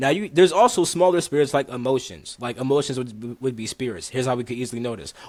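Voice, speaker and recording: A man with a medium pitch talks at a very fast pace, barely pausing at all. His tone is animated and his intonation lively. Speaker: spiritual teacher. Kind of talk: casual chat.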